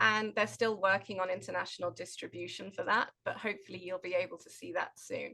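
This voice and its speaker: A woman with a British accent talks at a fairly quick pace with hardly any pauses. Her tone is bright and sharp, with vocal fry. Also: medium pitch for a woman, fairly even intonation. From Britain. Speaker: occupational therapist and nonprofit director. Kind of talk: webinar conversation.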